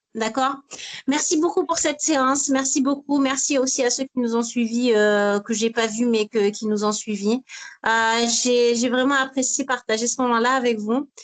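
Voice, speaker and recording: Delivery runs fairly slowly. There is only a little rise and fall in the intonation. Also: woman, high pitch for a woman. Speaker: masterclass trainer. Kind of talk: online masterclass workshop.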